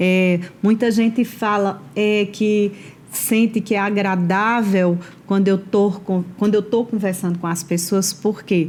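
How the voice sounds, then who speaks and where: In a monotone, flat delivery, a woman speaks at a very slow pace. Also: medium pitch for a woman. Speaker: HR professional and entrepreneur. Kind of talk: interview. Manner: slow, measured.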